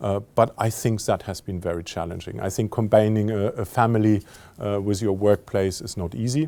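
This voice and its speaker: A man's fairly low pitch and dark, mellow tone at a moderate pace. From France. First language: French. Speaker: company CEO. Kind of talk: interview. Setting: filmed interview. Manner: halting, many fillers.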